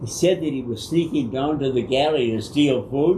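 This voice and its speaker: The speech moves at a moderate pace amid noticeable background noise and audible room echo. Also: man. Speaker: war veteran. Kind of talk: casual chat.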